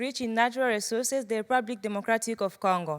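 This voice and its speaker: Recorded very cleanly with a silent background, a high-pitched woman talks at a fairly quick pace with ordinary pitch variation. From Burundi. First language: Swahili, French or Kirundi. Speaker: pageant contestant. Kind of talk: prepared speech.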